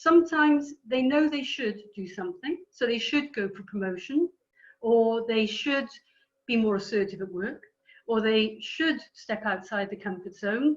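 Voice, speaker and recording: With a Welsh accent, a woman speaks at a fairly slow pace. Her fairly high voice has lively intonation. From Wales. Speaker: career coach trainer. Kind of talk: lecture. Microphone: too quiet, then switched mic.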